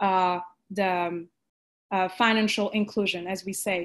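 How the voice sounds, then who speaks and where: A woman with a French accent, medium in pitch, fairly even in intonation, at a fairly slow pace against a quiet background. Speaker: panelist. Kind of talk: panel discussion. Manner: halting, many fillers.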